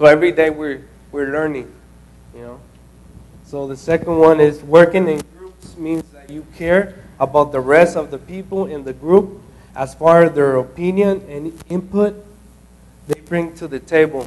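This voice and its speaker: With a non-native accent, a man speaks at a moderate pace and a fairly high pitch, with fairly even intonation and big swings in loudness. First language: not English. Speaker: intern presenting at a training session. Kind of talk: group talk at a training session. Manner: halting, many fillers and restarts.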